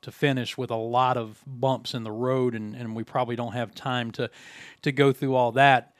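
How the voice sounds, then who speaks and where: The intonation is monotone and flat. The speaker has an American accent. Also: man. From West Virginia. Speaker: podcast host and sports play-by-play announcer. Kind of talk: casual interview. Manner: hesitant, many fillers.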